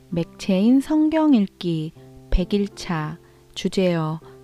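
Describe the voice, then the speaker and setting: Music plays behind a woman speaking at a very slow pace. Her pitch sits in the medium range. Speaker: Bible reader. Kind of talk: Bible reading, audio scripture. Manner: soft, calming, suited for night listening.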